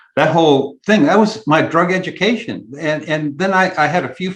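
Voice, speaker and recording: A man talks with an American accent over a quiet background. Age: 70s. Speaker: podcast host and author, interview guest. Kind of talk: casual interview chat. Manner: hesitant, many filler words.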